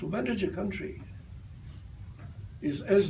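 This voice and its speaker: Amid audible room echo, a man with a dark, mellow tone and vocal fry talks at a moderate pace with very wide pitch swings. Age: 80s+. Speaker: retired army general. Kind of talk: talk answering audience questions.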